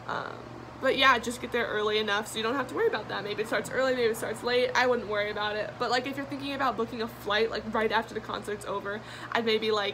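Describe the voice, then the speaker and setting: Talking at a very fast pace, a woman with a fairly high voice keeps her intonation fairly even over noticeable background noise. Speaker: fan vlogger. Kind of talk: Q&A vlog, casual talk to camera. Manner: many fillers, um and like.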